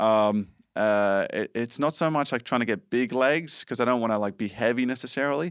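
Speaking at a fairly quick pace with an Australian accent, a man talks at a medium pitch on a very clean recording with a silent background. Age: 20s. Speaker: ninja warrior competition winner. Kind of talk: casual chat. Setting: studio.

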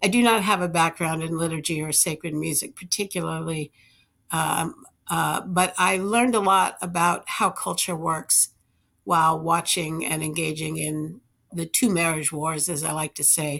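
On a very clean recording with a silent background, a woman with a fairly low pitch, a bright, sharp tone and vocal fry speaks at a moderate pace with ordinary pitch variation. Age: 60s. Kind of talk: interview. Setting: studio.

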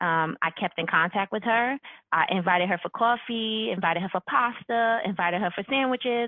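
With an unremarkable speaking voice, a woman at medium pitch speaks in an American accent at a fairly quick pace with ordinary pitch variation. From New York. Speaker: university HR executive. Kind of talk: podcast interview.

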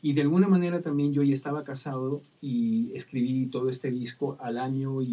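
With an unremarkable speaking voice, a man talks at medium pitch and a moderate pace, with fairly even intonation and hardly any pauses. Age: 50s. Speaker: children's music songwriter and singer. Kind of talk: interview. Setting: live-streamed studio conversation.

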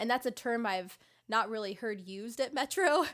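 Fairly high pitched and fairly quick, a woman talks in a plain, everyday voice on a very clean recording with a silent background. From Southern California. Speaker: resident physician and podcast host. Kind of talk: casual chat, podcast hosting.

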